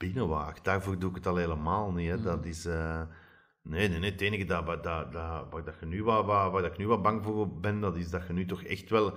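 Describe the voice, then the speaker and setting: A man talks in a very deep, low pitch at a moderate pace. His intonation is fairly even, against a quiet background. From Flanders. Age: 40s. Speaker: TV director and screenwriter; podcast guest. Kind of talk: interview. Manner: halting. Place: home room. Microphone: handheld.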